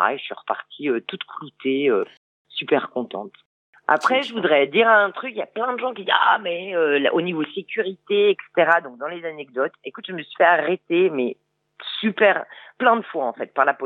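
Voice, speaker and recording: A woman speaks at a fairly low pitch and a moderate pace. Her pitch swings very widely. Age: 50s. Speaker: motorcycle traveller. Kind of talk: radio interview. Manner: hesitant, many fillers.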